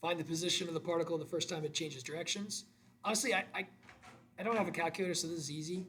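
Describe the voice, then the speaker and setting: A man with a fairly high pitch speaks in an animated tone, with ordinary pitch variation. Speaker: math teacher. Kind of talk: tutorial. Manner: casual, animated.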